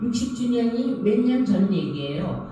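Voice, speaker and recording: Amid noticeable background noise, the woman talks very slowly. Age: 80s+. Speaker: film industry veteran. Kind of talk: talk to live audience.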